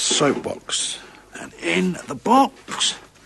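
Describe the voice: Speaking very slowly in a put-on character voice, a man uses a high pitch with big pitch swings, vocal fry, a slightly husky edge and a fairly bright tone.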